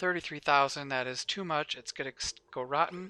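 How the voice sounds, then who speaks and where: Against a quiet background, a man mumbles in a fairly high voice with a bright, sharp tone, ordinary pitch variation, and a dry, close sound with no echo. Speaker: gaming YouTuber. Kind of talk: gameplay commentary. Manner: mumbling; casual, thinking aloud.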